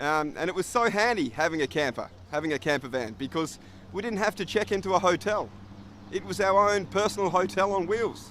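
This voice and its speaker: Fairly quick pace and lively intonation from a man with an Australian accent, a high pitch and a relaxed tone. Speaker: English teacher. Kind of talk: tutorial; casual storytelling. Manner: relaxed, friendly.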